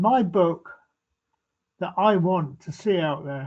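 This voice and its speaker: A man speaks at a high pitch. His intonation is lively. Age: 90s. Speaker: tree expert guest. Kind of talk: webinar talk. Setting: video webinar.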